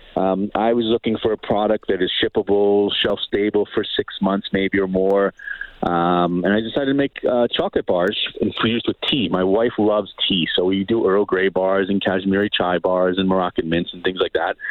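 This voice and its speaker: A man's fairly low pitch in a New York accent, fairly even intonation, moderate pace, noticeable background noise. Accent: New York American. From US, New York City area. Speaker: culinary instructor and chocolate business owner. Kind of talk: casual interview. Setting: phone call.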